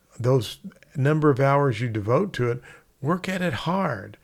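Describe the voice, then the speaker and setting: Lively intonation marks this man's speech. The background is silent in a very clean recording. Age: 60s. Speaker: real estate instructor. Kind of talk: casual talk to camera. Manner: conversational.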